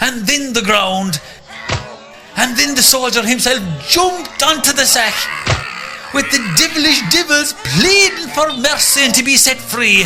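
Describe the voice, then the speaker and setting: Music plays in the background as a man speaks in a raised, projected voice at an extremely high pitch. His pace is fairly slow, with long, frequent pauses, very even loudness and lively intonation. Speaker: narrator. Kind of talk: folk tale storytelling for radio.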